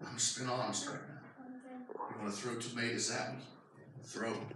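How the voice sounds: A man speaks at a medium pitch with a bright, sharp tone. His pace is moderate, pitch movement is slight, and the room echo is strong.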